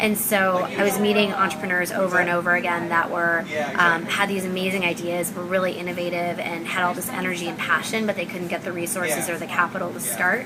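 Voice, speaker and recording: At a very fast pace, a woman speaks with a fairly low pitch and monotone, flat intonation. Audible room echo and noticeable background noise fill the recording. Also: hardly any pauses. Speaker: startup accelerator founder. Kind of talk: interview. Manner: casual, frequent fillers.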